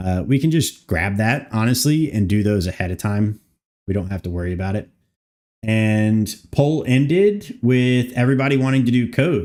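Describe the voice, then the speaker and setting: In an ordinary speaking voice, a man speaks at a moderate pace with lively intonation. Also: medium pitch for a man. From Canada. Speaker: game modder streamer. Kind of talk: live stream modding session. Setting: live stream.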